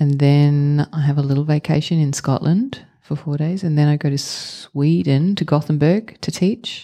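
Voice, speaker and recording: In an Australian accent, a woman speaks at a very deep, low pitch with a dark, mellow tone. Her moderate pace has hardly any pauses, and her pitch variation is ordinary. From Australia, rural Victoria. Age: 40s. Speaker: actor and improv performer. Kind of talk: live podcast interview. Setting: theatre stage with live audience.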